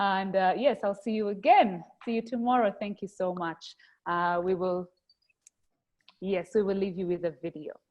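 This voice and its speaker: A woman with a Rwandan accent speaks at a moderate pace. Her pitch is medium with ordinary variation. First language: Kinyarwanda. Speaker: webinar host. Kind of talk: closing remarks. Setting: video call.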